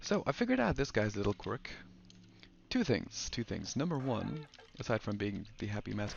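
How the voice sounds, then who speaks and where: A man is soft-spoken. He keeps a moderate pace. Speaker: let's play gamer. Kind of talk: casual gameplay commentary.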